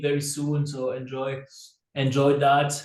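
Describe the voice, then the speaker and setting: A man's fairly high, somewhat breathy voice at a fairly slow pace, with audible room echo. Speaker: company call co-host. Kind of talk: online company call announcements.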